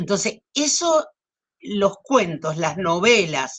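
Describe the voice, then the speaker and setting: Speaking at a very slow pace with a Cordoban Argentine accent, a woman at a medium pitch lets her voice swing very widely. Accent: Argentine Spanish, Córdoba. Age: 70s. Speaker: writer. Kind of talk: interview. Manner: hesitant.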